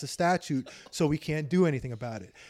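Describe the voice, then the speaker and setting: A man speaks with an American accent. His pitch sits fairly high. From New York. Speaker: police accountability activist. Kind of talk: casual interview. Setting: host's home.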